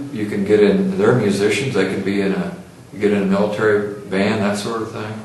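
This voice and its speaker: Amid noticeable background noise and audible room echo, a man talks at a fairly quick pace in a monotone, flat delivery. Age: 60s. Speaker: interviewer. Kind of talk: oral history interview.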